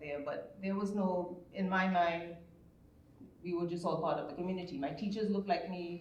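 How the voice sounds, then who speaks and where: With noticeable background noise and audible room echo, a woman talks at a moderate pace. Her voice is fairly low, with fairly even intonation. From Trinidad and Tobago. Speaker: panelist. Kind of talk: panel discussion.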